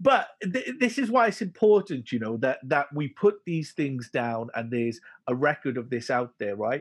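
A man with a Welsh accent speaks at a moderate pace. His pitch swings very widely. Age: 40. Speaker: podcast host. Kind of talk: casual interview.

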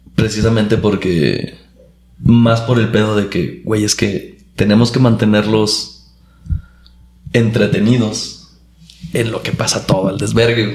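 In a room with audible echo, a man with a fairly low voice speaks very slowly and fairly evenly, leaving long, frequent pauses. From Chihuahua, Mexico. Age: 30s. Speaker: engineer and comedian. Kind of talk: casual chat.

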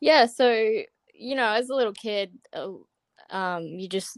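Her pitch moves in an ordinary way as a woman speaks with an Australian accent. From Australia, Brisbane, Queensland. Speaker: college gymnast. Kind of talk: interview.

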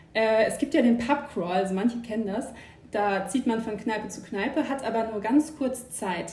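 A woman's fairly high voice with ordinary pitch variation, plus noticeable background noise and audible room echo. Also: moderate pace. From rural Germany. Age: 20s. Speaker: co-founder of a second-hand guide account. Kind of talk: casual chat.

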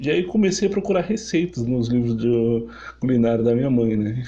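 Somewhat breathy with a dark, mellow tone, a man speaks at a fairly high pitch. He talks fairly quickly, with very wide pitch swings. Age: 30s. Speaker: podcast host, culinary student. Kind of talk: personal storytelling monologue. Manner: halting, with fillers and repetitions.

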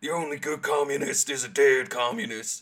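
A man uses a put-on character voice at a fairly high pitch. He talks at a moderate pace. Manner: exaggerated, blustering.

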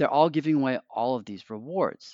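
A man speaks at a fairly quick pace with ordinary pitch variation. He has a normal speaking voice. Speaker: financial adviser guest. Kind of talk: casual interview chat. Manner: joking, conversational.

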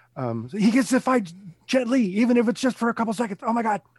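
The background stays quiet. A man speaks very fast. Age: 40s. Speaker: guest co-host, action film fan. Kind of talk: casual chat.

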